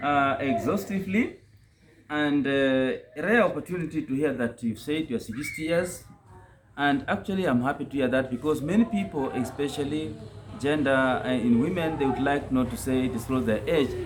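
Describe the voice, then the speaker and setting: His voice sits fairly high for a man, and its pitch moves in an ordinary way. He talks at a moderate pace against noticeable background noise. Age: 50s. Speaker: interview panelist. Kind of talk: interview.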